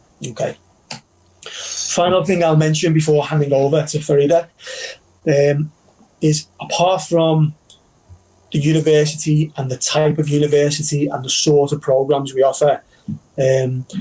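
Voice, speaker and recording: A man with a Liverpool accent talks at a moderate pace with a fairly high pitch. His intonation is monotone and flat, broken by long, frequent pauses. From northern England, Liverpool. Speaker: university recruitment representative. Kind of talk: virtual counselling presentation.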